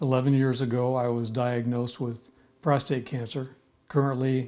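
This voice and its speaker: A man with an American accent, a dark, mellow tone and monotone, flat intonation. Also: medium pitch for a man, moderate pace. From US Midwest, Indiana. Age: 70s. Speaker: cancer patient, military veteran. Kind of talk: patient testimony.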